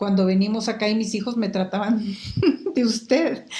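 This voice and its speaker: A woman with a Mexican accent speaks at a fairly high pitch, her intonation fairly even. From Guatemala, Quetzaltenango. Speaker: market research expert. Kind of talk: interview conversation.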